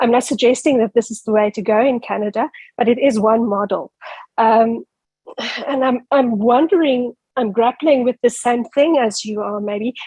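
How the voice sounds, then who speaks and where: With a South African accent, a woman speaks at a moderate pace in fairly even intonation, the sound dry and close with no echo. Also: fairly high pitch for a woman. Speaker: academic asking a question. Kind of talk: audience question.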